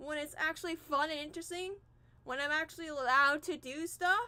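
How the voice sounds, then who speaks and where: A woman speaks in a raised, projected voice at an extremely high pitch with a bright, sharp tone. Her pace is moderate and her pitch varies in an ordinary way. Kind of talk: emotional personal vent on livestream. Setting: livestream.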